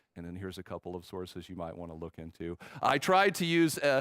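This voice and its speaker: This man speaks with a Texan accent at a medium pitch. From Texas. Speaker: film professor. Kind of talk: conference talk. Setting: stage with audience. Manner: halting, many fillers.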